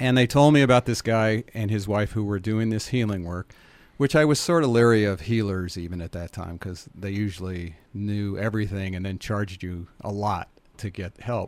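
Speaking at a moderate pace with ordinary pitch variation, a man has an unremarkable speaking voice on a very clean recording with a silent background. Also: fairly low pitch for a man. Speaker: biotouch practitioner and foundation head. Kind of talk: casual radio interview. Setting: radio studio.

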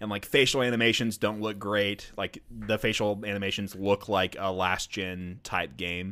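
On a very clean recording with a silent background, a man speaks at a moderate pace with hardly any pauses. His tone is bright and sharp, his pitch fairly low, and his intonation fairly even. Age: 20s. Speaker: gaming podcast co-host. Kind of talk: casual chat.

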